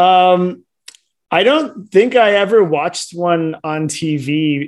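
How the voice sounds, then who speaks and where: Speaking very slowly with an American accent, the man shows ordinary pitch variation. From California, Silicon Valley. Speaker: baseball tour company owner. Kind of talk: interview. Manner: casual, hesitant with fillers.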